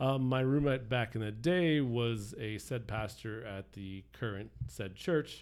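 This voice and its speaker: A man with a normal speaking voice talks at medium pitch and a fairly slow pace. His pitch variation is ordinary, and he hardly pauses. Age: 40s. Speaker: church outreach worker. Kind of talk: casual chat.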